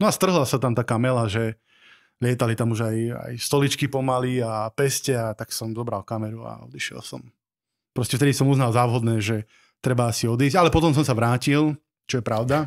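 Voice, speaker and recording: A man with a plain, everyday voice talks at a fairly quick pace, his medium pitch showing ordinary variation over a quiet background. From Slovakia, Nové Zámky; Slovakia. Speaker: wedding videographer and teacher; teacher. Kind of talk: casual chat. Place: studio. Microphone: studio mic.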